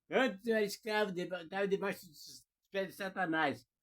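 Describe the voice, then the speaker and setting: On a very clean recording with a silent background, a man with a high-pitched voice speaks at a moderate pace. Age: 70s. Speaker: preacher. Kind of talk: sermon.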